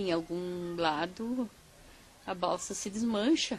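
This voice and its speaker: This woman's pitch shifts in an ordinary way. She talks at a very slow rate. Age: 60s. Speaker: raftsman's daughter, interviewee. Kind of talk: documentary interview.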